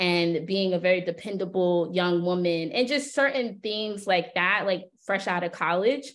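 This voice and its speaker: An unremarkable speaking voice, a woman with an American accent, medium pitch, ordinary pitch variation, moderate pace and hardly any pauses. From US East Coast, Philadelphia. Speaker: business strategist and media entrepreneur. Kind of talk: podcast interview.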